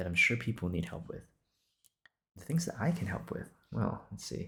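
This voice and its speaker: A man with a relaxed tone, lively intonation and vocal fry, at a moderate pace, on a very clean recording over a silent background. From Singapore. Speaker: podcaster. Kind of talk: improvised casual monologue. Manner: casual, with frequent fillers and restarts.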